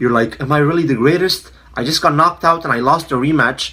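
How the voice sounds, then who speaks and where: Speaking with a non-native accent, a man sounds animated, bright and sharp, with a fairly high pitch and a fairly quick pace. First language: not English. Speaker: MMA commentator YouTuber. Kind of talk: casual opinion monologue.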